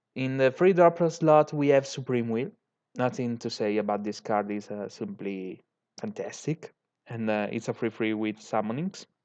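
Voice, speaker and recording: A man with an Italian accent speaks at a moderate pace and medium pitch, with lively intonation over a quiet background. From Italy. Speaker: YouTuber, card game content creator. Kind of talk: tutorial. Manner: halting, many fillers. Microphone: poor audio quality.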